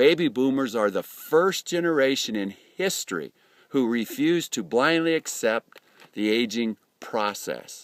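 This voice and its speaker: Recorded very clean with a silent background and a dry, close sound with no echo, a man with an American accent speaks at a medium pitch and a fairly slow pace. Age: 50s. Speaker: network marketing entrepreneur. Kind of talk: business presentation to camera. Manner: soft-spoken.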